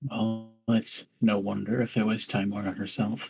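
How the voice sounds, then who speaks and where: The speaker uses a raspy, put-on character voice. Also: man, medium pitch for a man, moderate pace. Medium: actual play.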